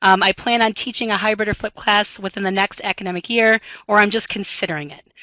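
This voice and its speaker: Speaking with an American accent, a woman has a medium pitch and a bright, sharp tone. The sound is dry and close, with no echo. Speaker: math instructor. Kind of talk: webinar presentation. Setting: online webinar. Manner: fast; many filler ums.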